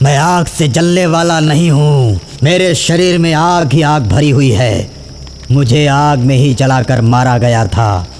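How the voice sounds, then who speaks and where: A man uses a cartoonish character voice at a fairly high pitch and a moderate pace. Clear background noise is audible. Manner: menacing.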